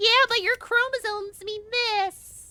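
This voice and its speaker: This put-on character voice has an extremely high pitch and moves at a fairly slow pace. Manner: mocking.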